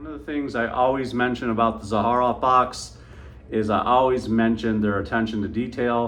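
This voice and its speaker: Audible room echo hangs on the voice. A man talks at a fairly quick pace. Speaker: fragrance reviewer. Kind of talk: product review. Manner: animated.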